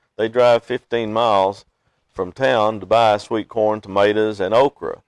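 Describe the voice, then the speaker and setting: Fairly even intonation comes through in a dry, close sound with no echo. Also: man, fairly low pitch for a man, fairly slow pace. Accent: Kentucky. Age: 60s. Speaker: beekeeper. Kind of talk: interview. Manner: halting, frequent uh fillers.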